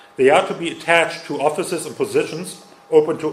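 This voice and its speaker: A man with a German accent at a fairly quick pace, audible room echo and noticeable background noise. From Germany. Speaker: conference speaker. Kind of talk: lecture. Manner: halting.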